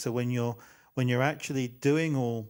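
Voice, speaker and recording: With an English accent, a man speaks in a monotone, flat intonation, recorded very cleanly against a silent background. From England. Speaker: podcast host. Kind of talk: casual interview chat. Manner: halting, many fillers.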